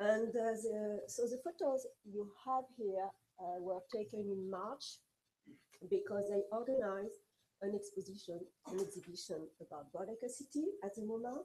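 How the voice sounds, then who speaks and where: Her tone dark and mellow, a woman speaks at a fairly slow pace with a medium pitch and ordinary pitch variation. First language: French. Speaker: architecture historian, researcher. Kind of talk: lecture. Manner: halting.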